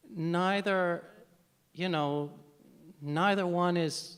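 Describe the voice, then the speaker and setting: Audible room echo surrounds a man with an American accent whose pitch varies in an ordinary way. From United States. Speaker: novelist. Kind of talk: panel Q&A. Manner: halting, many repetitions.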